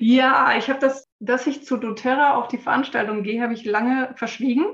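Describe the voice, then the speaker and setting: Here is a woman with an ordinary speaking voice, pitched fairly high. She talks at a fairly quick pace with fairly even intonation. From Frankfurt, Germany. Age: 40s. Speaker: essential oils consultant and massage therapist. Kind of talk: casual interview.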